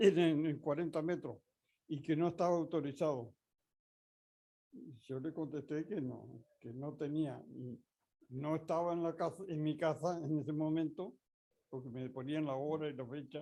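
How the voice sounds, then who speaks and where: Dark and mellow in tone, a man with a fairly high pitch speaks fairly slowly with fairly even intonation and long, frequent pauses. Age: 80s+. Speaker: amateur radio instructor. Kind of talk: lecture. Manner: halting.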